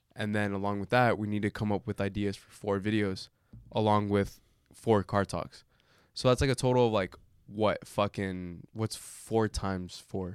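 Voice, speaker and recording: Captured dry and close with no echo on a very clean, silent recording, a man with an ordinary speaking voice talks at a moderate pace, fairly low pitch, and fairly even intonation. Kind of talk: casual chat, banter over drinks.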